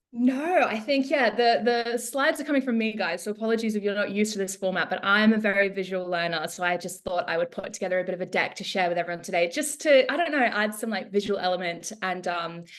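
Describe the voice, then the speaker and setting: A woman with an Australian accent speaks at a very fast pace with hardly any pauses. Her intonation is lively, and background noise is noticeable. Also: medium pitch for a woman. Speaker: social media account manager. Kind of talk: webinar presentation. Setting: live online webinar.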